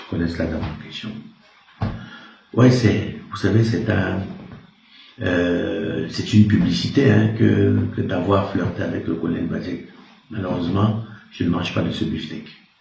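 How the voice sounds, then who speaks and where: Over noticeable background noise and audible room echo, a man with a very deep, low voice speaks fairly slowly with ordinary pitch variation and long, frequent pauses. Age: 60s. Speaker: retired army officer. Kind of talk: interview. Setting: in his office.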